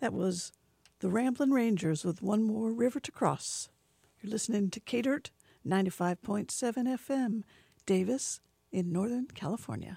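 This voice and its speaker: At a fairly slow pace, a woman talks in a fairly high voice with a dark, mellow tone, ordinary pitch variation and a somewhat breathy sound, dry and close with no echo on a very clean recording with a silent background. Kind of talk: radio show hosting, introducing songs and poems. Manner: warm, conversational, enthusiastic.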